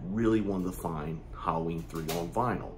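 A man speaking, with music in the background. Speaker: video host. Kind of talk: casual vlog chat. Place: home room.

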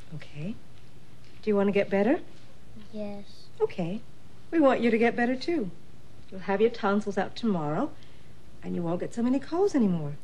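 The voice moves at a fairly quick pace. Its pitch swings very wide. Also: woman. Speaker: actress playing a nurse. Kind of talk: scripted drama dialogue. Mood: warm, reassuring. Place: studio.

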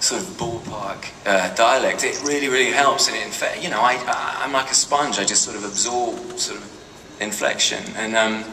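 Noticeable background noise sits beneath speech delivered at a moderate pace. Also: man. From Britain. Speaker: actor. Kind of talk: panel answer to a fan question. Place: hall.

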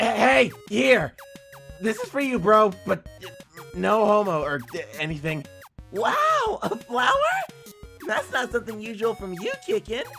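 A man puts on a high-pitched character voice at a fairly slow pace. Clear music plays in the background. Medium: dub. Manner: flustered, shouting.

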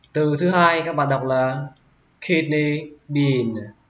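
Someone speaks at a very slow pace with fairly even intonation, in a northern Vietnamese accent. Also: man. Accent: northern Vietnamese (Hanoi). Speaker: English teacher. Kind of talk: English vocabulary lesson.

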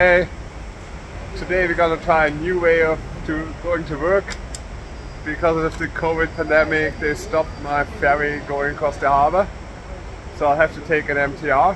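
A man at a moderate pace with long, frequent pauses, monotone and flat, over noticeable background noise. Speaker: cycling vlogger. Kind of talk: casual vlog chat. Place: street. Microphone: phone near.

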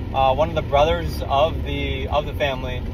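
A man talks at a moderate pace. The sound is dry with no echo, though noticeable background noise comes through. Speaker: vlogger. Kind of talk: casual vlog chat. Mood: excited, grateful. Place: car. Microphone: phone near.

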